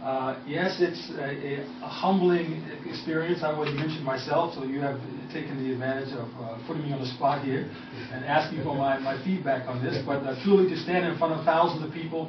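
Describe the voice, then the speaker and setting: Over noticeable background noise and audible room echo, a man speaks at a fairly quick pace with an American accent. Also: fairly high pitch for a man, ordinary pitch variation. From US Northeast, New York City area. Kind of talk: radio interview.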